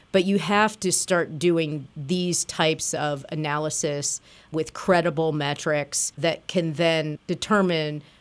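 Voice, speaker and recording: With an American accent, a plain, everyday voice speaks at a fairly slow pace with fairly even intonation. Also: woman. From US Midwest (Springfield, Illinois). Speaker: regional planning commission director, co-host. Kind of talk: radio talk show discussion.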